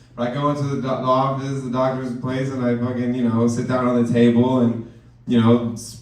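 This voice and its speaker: A man speaks at a medium pitch with an animated tone. There is audible room echo. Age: 20s. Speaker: stand-up comedian. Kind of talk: stand-up. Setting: stage with audience.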